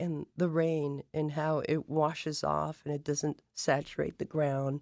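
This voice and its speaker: A woman's very deep, low voice at a fairly slow pace, monotone and flat, in a dry, close sound with no echo. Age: 60s. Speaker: chef. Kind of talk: interview.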